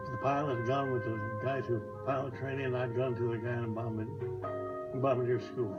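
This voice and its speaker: Music plays in the background as a man with an American accent talks at medium pitch. His intonation is fairly even, and audible room echo colors the sound. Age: 90s. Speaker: war veteran. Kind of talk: testimony. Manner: halting.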